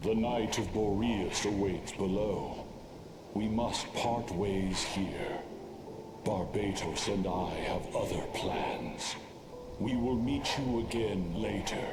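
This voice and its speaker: In a put-on character voice, a man speaks very slowly at a fairly low, resonant pitch. Loud background noise and a slight echo are present. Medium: game stream. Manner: grave, formal.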